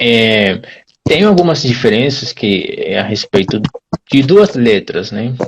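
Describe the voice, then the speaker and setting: With a Brazilian accent, a man speaks at a very slow pace and with lively intonation. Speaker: Portuguese teacher. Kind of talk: live-stream conversation.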